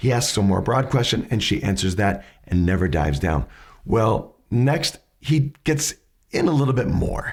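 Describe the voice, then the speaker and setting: A man with vocal fry speaks at a moderate pace and medium pitch, his voice making very wide pitch swings at a very even loudness, on a very clean recording with a silent background. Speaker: educator on questioning skills. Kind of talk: tutorial.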